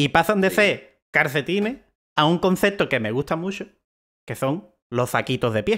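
A man is talking. His intonation is lively. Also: quiet background. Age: 20s. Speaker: podcast co-host. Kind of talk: casual chat. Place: home room. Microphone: headset.

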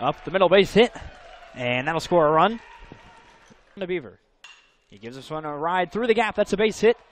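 A man shouts at a fairly quick pace in a high pitch, with lively intonation and big swings in loudness. Long, frequent pauses break it up, and the sound is dry with no echo. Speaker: play-by-play announcer. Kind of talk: live baseball play-by-play commentary over highlight clips. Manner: rising-and-falling energy, shouting at big plays. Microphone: headset.

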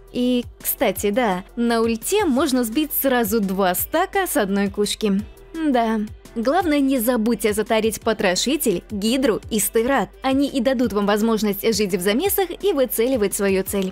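A woman at a fairly slow pace, upbeat in tone, with music in the background. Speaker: voice-over dubber. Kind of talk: video game guide narration.

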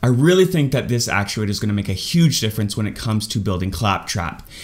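Very fast speech comes with very wide pitch swings. The background is quiet. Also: man. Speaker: maker youtuber. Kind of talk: casual vlog tutorial. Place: home room.

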